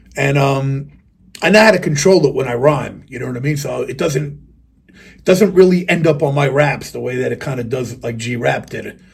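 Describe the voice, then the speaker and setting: With vocal fry and big swings in loudness, a man talks at a moderate pace. His pitch is fairly high with ordinary variation. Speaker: rapper and video reviewer. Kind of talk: casual rant to camera. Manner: animated.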